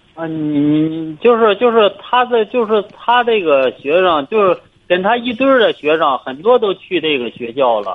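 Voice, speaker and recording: Speaking at a moderate pace with hardly any pauses, a man uses a high pitch with very wide pitch swings. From Hebei, China. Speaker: caller, parent. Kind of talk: phone-in advice call. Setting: phone call. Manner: halting.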